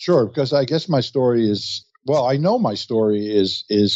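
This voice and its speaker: This man's voice sits at medium pitch with ordinary pitch variation. He speaks at a moderate pace. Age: 60s. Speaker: entrepreneur. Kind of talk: interview. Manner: halting.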